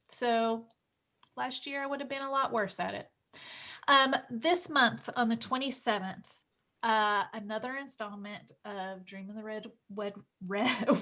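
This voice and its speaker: In a very clean recording with a silent background, a woman with a Southern US accent speaks at a fairly slow pace in a bright, sharp tone, with fairly high pitch, ordinary pitch variation, big swings in loudness, and long, frequent pauses. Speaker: live stream co-host. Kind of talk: casual chat. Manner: hesitant, many fillers.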